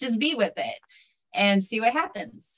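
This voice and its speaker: With a normal speaking voice, a woman talks at a moderate pace using lively intonation. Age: 40s. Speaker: podcaster and writer. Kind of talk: interview.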